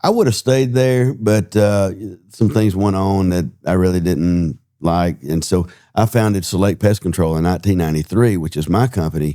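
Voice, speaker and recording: In a Southern US accent, a dark, mellow voice moves at a moderate pace with ordinary pitch variation, on a very clean recording with a silent background. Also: man, very deep, low pitch for a man. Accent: Southern US (Georgia). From US South, Georgia (Hall County). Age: 60s. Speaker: political candidate, business owner. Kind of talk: interview. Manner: halting, with filler words.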